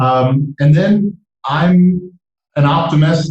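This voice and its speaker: A man with an American accent speaks in a dark, mellow tone with ordinary pitch variation. His voice is somewhat breathy. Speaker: entrepreneur. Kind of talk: podcast interview.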